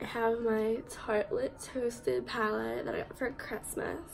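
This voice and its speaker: Woman's voice over noticeable background noise. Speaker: student vlogger. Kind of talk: casual vlog, get ready with me. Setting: at home.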